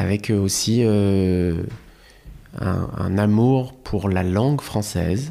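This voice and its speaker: The tone is dark and mellow, with ordinary pitch variation. The recording is very clean and the background silent. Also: man. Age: 30s. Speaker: comedian. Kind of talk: casual chat. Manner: halting.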